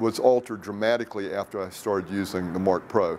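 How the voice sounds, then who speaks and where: In a very clean recording with a silent background, a man with a plain, everyday voice talks at a moderate pace in a fairly low pitch. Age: 60s. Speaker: product user testimonial, wellness industry executive. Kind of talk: testimonial interview.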